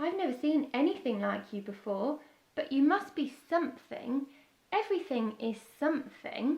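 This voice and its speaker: A woman puts on a croaky, high-pitched character voice and speaks at a moderate pace. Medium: read story. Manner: friendly.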